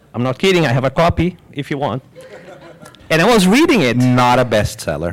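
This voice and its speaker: Over noticeable background noise, a man at medium pitch speaks fairly quickly with lively intonation. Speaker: panel guest. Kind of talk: live panel discussion. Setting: stage with live audience. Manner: jovial.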